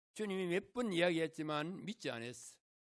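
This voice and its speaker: This man's voice sits high in pitch, with lively intonation. The recording is very clean, with a silent background. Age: 80s+. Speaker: guest preacher, former school chaplain. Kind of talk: sermon. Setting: church.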